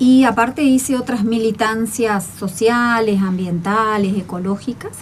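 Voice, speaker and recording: A woman with an Argentine accent, fairly high in pitch with ordinary pitch variation, at a fairly slow pace amid noticeable background noise. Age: 60s. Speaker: agronomist. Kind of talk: radio interview.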